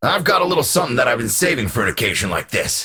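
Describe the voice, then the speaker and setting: A man puts on a raspy character voice at a medium pitch. He talks very fast, and his pitch swings very widely. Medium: video game. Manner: blunt, insulting.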